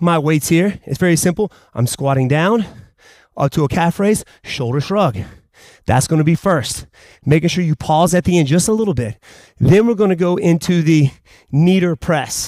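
With long, frequent pauses and very even loudness, a man speaks at a high pitch against a quiet background. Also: ordinary pitch variation, moderate pace, dry sound with no echo. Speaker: fitness instructor. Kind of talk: workout instruction. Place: gym.

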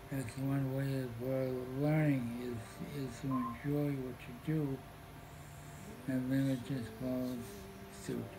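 Over music in the background, a man talks at a very slow pace in a flat monotone, with long, frequent pauses. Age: 80s+. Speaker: grandfather giving advice. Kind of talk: interview answer. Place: home room. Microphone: camera far.

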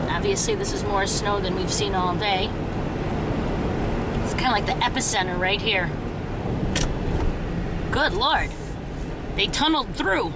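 Long, frequent pauses break up speech at a moderate pace under loud background noise. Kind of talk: casual commentary. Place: car. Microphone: phone near.

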